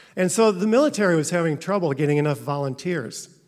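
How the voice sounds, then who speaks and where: A man with a Midwestern American accent talks at a fairly quick pace with ordinary pitch variation on a very clean recording with a silent background. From US Midwest (Carlinville, Illinois). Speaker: storyteller. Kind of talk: personal storytelling. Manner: hesitant with fillers.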